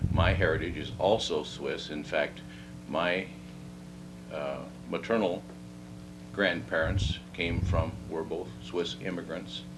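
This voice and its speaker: A man's very deep, low voice with an American accent, very slow with long, frequent pauses and lively intonation, amid noticeable background noise and audible room echo. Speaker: oral history interviewee. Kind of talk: oral history interview. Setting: at home. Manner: halting.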